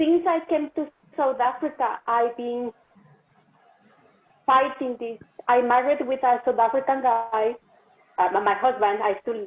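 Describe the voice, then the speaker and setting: A non-native accent at a very slow pace, with fairly even intonation. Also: woman. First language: not English. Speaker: workshop participant. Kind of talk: personal sharing. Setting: video call.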